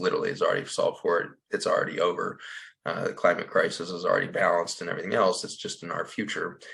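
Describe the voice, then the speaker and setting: A man does a put-on character voice that is raspy. He talks at a very fast pace. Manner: fast-talking.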